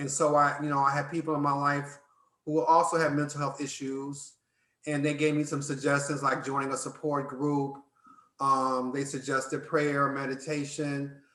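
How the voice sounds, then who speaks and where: Amid audible room echo, a man with a fairly high pitch speaks at a moderate pace in a bright, sharp tone with monotone, flat intonation. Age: 60s. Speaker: activist and educator. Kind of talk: interview.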